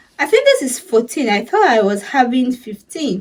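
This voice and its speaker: This is a woman talking. Her voice sits high in pitch. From Sierra Leone. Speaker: YouTuber. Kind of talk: casual vlog talk. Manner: loud.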